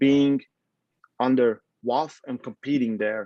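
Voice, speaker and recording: Speaking in a Latvian accent, a man has a medium pitch, a dark, mellow tone, and fairly even intonation, with a dry, close sound with no echo. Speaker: arm wrestling coach and federation president. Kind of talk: casual interview. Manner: halting.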